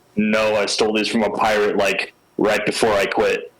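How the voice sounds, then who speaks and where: At a moderate pace, a man uses a put-on character voice pitched fairly low. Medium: actual play. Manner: nervous, whiny.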